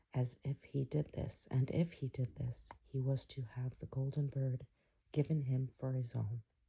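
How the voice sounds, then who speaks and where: The speaker is soft-spoken, with a calm tone. The pace is fairly slow. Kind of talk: fairy tale reading, ASMR bedtime story. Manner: soft-spoken, calm.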